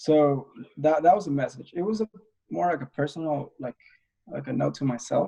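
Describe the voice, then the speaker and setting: A man speaks at a moderate pace with long, frequent pauses and lively intonation, his fairly high voice somewhat breathy with a dark, mellow tone. The sound is dry and close, with no echo. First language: not English. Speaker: independent filmmaker. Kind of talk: interview conversation. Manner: halting, many fillers.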